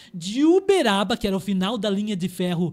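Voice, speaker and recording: His high-pitched voice carries an animated tone, with ordinary pitch variation from this man. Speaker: historian. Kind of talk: podcast interview with live audience. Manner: fast.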